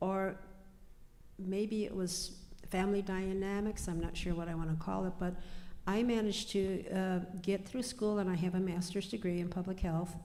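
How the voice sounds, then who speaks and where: In an American accent, a woman speaks at a moderate pace with monotone, flat intonation and a dark, mellow tone, with audible room echo. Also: medium pitch for a woman. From US Midwest, Pine Ridge, South Dakota. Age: 70s. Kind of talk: panel discussion. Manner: halting, many fillers.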